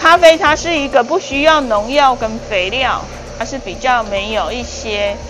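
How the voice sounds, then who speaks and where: Over music in the background, a woman with a high pitch speaks at a moderate pace. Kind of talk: interview answer. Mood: calm, warm. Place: workshop. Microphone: lapel.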